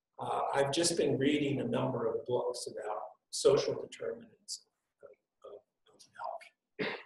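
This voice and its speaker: This voice is soft-spoken. It moves at a fairly slow pace. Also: man. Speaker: health policy expert. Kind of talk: panel discussion. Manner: halting.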